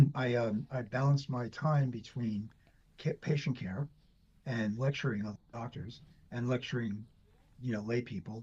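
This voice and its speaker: A man speaks at a medium pitch in a dark, mellow tone. His voice is somewhat breathy. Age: 60s. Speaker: doctor. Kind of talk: interview.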